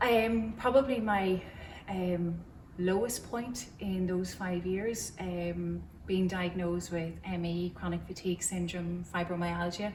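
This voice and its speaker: Speaking at a very slow pace with an Irish accent, the voice keeps a fairly even intonation over noticeable background noise and audible room echo. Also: woman, medium pitch for a woman. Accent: Cavan Irish. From Ireland, County Cavan. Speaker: churchgoer sharing faith story. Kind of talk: testimony. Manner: hesitant, many fillers.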